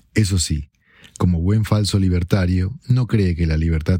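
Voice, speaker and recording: Speaking at a fairly slow pace, a man with a very deep, low pitch uses a dark, mellow, somewhat breathy tone that sounds serious, with fairly even intonation. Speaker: article narrator. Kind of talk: formal news-style reading aloud of an opinion article. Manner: formal; measured, even and serious.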